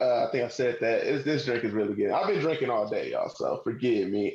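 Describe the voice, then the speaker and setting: A man's fairly quick delivery, with room echo clearly audible. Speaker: podcast host. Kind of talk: casual chat. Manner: animated.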